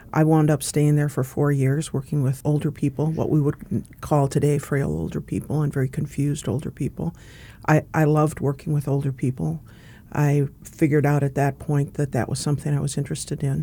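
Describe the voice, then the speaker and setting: At a fairly quick pace, a woman with an American accent and a very deep, low voice speaks in a monotone, flat manner with a dark, mellow tone. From North Dakota (Fargo), US Upper Midwest. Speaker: social work professor and former dean. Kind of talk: interview.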